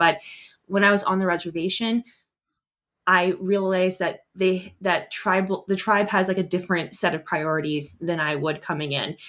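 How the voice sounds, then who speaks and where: In a very clean recording with a silent background, a woman speaks with an American accent. Her pitch sits in the medium range, with ordinary variation. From US Southwest. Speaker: travel blogger and teacher. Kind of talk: interview. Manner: fast talker.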